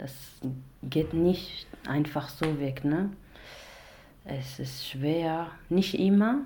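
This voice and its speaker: A woman's very deep, low voice with a dark, mellow, somewhat breathy tone, a very slow pace, long and frequent pauses, ordinary pitch variation, big swings in loudness and audible room echo. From Iraq. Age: 20s. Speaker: domestic violence survivor, author and actress. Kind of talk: testimony. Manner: halting.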